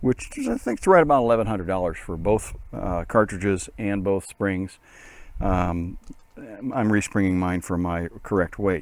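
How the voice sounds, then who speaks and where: Using a normal speaking voice, a man with a fairly low pitch talks at a moderate pace with ordinary pitch variation. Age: 60s. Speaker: motorcycle hobbyist doing a DIY tutorial. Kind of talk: tutorial. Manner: casual, with many filler words.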